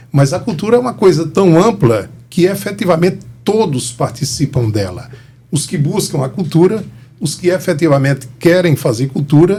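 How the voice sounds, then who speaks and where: Here a man speaks in an ordinary speaking voice with a fairly high pitch. His intonation is lively and his pace moderate. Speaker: historian and cultural organizer. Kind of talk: interview.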